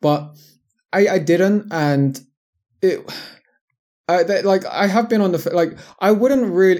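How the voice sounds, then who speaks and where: Recorded very cleanly over a silent background, a man with a London accent speaks with very wide pitch swings. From London, England. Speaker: online fitness coach. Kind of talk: casual interview chat. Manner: halting, many fillers.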